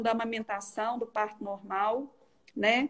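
A woman speaks with ordinary pitch variation. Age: 30s. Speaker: owner of a children's play space. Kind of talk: casual chat, interviewing on a livestream. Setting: live video stream.

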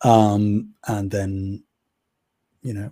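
Very clean and set against a silent background, this recording has a man with a dark, mellow tone, a somewhat breathy quality and a fairly low pitch. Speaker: podcast host. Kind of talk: casual chat.

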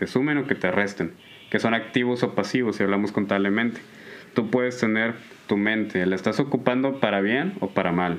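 A man speaks in a normal speaking voice at medium pitch. He keeps a moderate pace with ordinary pitch variation. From Nuevo León, Mexico. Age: 20s. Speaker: computer science graduate student. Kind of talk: casual chat.

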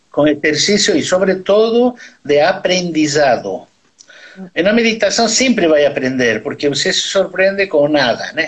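Lively intonation runs through a man's high-pitched voice as he speaks at a moderate pace. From Bolivia. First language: Spanish (speaking Portuguese). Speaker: neurosurgeon. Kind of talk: interview. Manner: halting.

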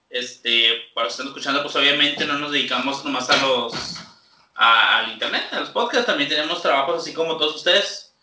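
Amid audible room echo, a man talks at a fairly quick pace with fairly high pitch and ordinary pitch variation. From Chihuahua, Mexico. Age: 20s. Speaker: podcast co-host. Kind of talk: casual chat.

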